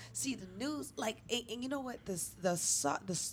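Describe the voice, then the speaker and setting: Her pitch swings very widely. The woman talks in an American accent. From New York City. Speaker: comedian. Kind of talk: casual chat. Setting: studio.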